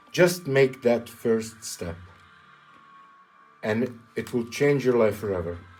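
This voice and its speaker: Speaking very slowly with a non-native accent, a man uses lively intonation and leaves long, frequent pauses. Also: medium pitch for a man. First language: not English. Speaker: welder and maker YouTuber. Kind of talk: casual vlog talk to camera. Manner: halting, repeats words.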